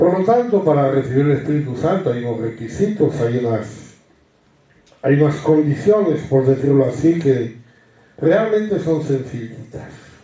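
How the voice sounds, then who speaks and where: The speaker is somewhat breathy, with lively intonation at a fairly slow pace. Audible room echo surrounds the voice. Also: man, fairly high pitch for a man. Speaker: Bible study teacher. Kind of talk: Bible study teaching.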